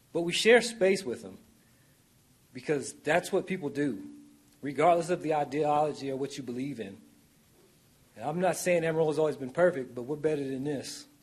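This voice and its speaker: Speaking at a fairly quick pace, a man uses lively intonation, big swings in loudness, and long, frequent pauses. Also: fairly high pitch for a man. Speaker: public commenter. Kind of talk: public comment speech. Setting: city council meeting.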